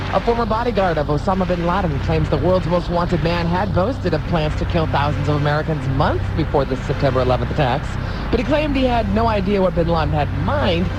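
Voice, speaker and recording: With music in the background, a man speaks at a very fast pace with hardly any pauses and very even loudness. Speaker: radio newsreader. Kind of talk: radio news report.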